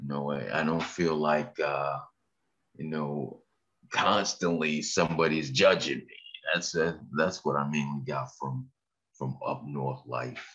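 A very deep, low-pitched male voice with vocal fry and an American accent, at a fairly slow pace with ordinary pitch variation. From Massachusetts (Randolph, near Boston). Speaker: author and podcast network owner. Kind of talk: interview. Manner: halting.

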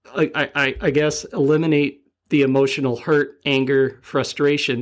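This man talks fairly slowly at a fairly high pitch, and his pitch variation is ordinary. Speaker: podcast co-host. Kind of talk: casual chat. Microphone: new mic setup, boom won't stay straight.

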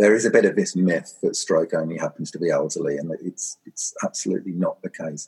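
In a southern English accent, a man talks at a fairly quick pace with hardly any pauses, the sound dry and close with no echo. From Suffolk, East Anglia, England. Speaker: charity chief executive. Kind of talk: interview. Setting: remote recording during lockdown. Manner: hesitant, many fillers.

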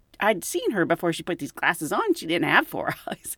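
An ordinary speaking voice from a woman, medium in pitch with lively intonation, in a dry, close sound with no echo. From United States. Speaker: podcast host and flight attendant. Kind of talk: casual storytelling.

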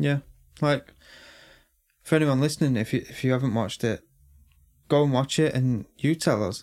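This man has an English accent and a medium pitch, with ordinary pitch variation at a moderate pace. He leaves long, frequent pauses, and the recording is very clean with a silent background. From England. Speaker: true crime podcast co-host.

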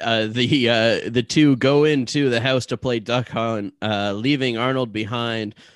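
Against a quiet background, a man uses a plain, everyday voice at medium pitch with fairly even intonation. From Ottawa area, Ontario. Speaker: podcast co-host. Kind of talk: casual chat and story narration.

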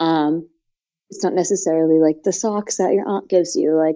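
Fairly even intonation marks this woman's ordinary speaking voice. Her pace is moderate. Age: 20s. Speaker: gift and astrology contributor. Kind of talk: casual chat.

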